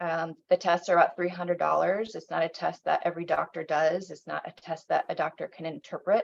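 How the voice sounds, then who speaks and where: A woman with an American accent speaks at a fairly quick pace in a fairly low pitch, with vocal fry. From South Bend, Indiana, US. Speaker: state legislator. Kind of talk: public talk on legislation.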